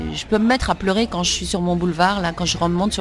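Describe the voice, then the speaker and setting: Fairly low-pitched female speech against noticeable background noise. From Switzerland, Lausanne. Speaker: actress and children's book author. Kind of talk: interview.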